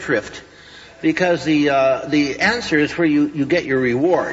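A man talks at a moderate pace with light background noise. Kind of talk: lecture. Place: hall.

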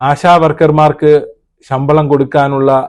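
A man with an unremarkable speaking voice and a fairly high pitch. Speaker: YouTube news commentator. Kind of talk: video commentary.

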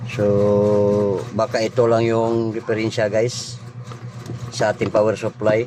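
A man at a very slow pace, medium in pitch, monotone and flat in intonation, at very even loudness, with noticeable background noise. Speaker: vlogger doing electronics repair. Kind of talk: repair tutorial. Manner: casual, halting with fillers.

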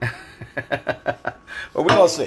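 Light background noise is present. The voice belongs to a man. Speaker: home cook hosting a livestream. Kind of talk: casual cooking livestream chat. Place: kitchen. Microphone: phone near.

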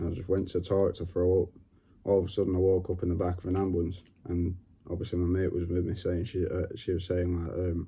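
A man talks very fast in a very deep, low, somewhat breathy voice with a dark, mellow tone and monotone, flat intonation. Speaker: vlogger. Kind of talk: casual talk to camera. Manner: hesitant, halting. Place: home room. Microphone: phone near.

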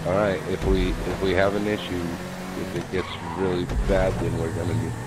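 Against loud background noise, a man talks at a fairly quick pace with ordinary pitch variation, the sound dry with no echo. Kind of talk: instructions to players over voice chat.

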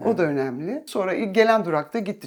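Pitch swings very widely as the speaker goes at a fairly quick clip. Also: woman. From Istanbul, Turkey. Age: 50s. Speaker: musician. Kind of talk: casual chat.

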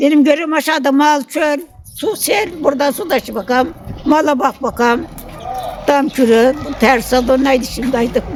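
With crowd noise in the background, a woman speaks at a moderate pace with a high pitch and ordinary pitch variation. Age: 70s. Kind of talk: casual interview answer.

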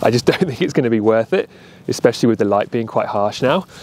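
The man's voice sounds dry, with no trace of echo around it. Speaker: travel photographer vlogger. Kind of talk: casual vlog chat. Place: open country. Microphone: phone near.

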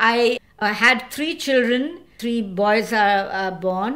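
A woman talks in a fairly high pitch with ordinary pitch variation. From India, Goa. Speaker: environmental activist and lawyer. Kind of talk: interview. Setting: studio.

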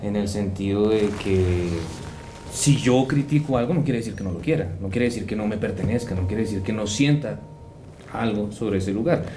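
A man talks at a moderate pace in a fairly low pitch with ordinary variation. Noticeable background noise runs beneath him. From Colombia, Bogotá. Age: 20s. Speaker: historian; interviewee. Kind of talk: interview. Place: studio. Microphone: studio mic.

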